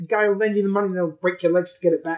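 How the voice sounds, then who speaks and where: Speaking with a British accent, a man uses a playful tone and fairly even intonation. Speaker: podcast co-host. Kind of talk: casual banter. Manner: joking, swearing, playful.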